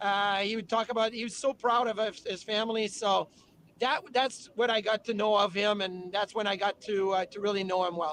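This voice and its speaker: A man talks with a French-Canadian accent. His voice is high, with fairly even intonation. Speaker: former hockey player and TV hockey analyst. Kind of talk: interview. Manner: fast.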